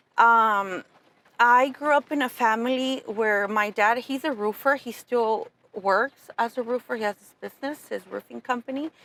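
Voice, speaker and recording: A woman with a Spanish accent speaks at a moderate pace with fairly even intonation and a fairly high pitch. Her bright, sharp tone shows big swings in loudness, and the sound is dry and close with no echo. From Southern California (Pomona, Fontana), born in Mexico. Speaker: entrepreneur, insurance agency owner. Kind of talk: interview conversation.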